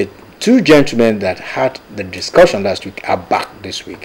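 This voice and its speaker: A man speaks at a moderate pace with very wide pitch swings. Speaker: TV show host. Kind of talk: presenter introduction. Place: studio.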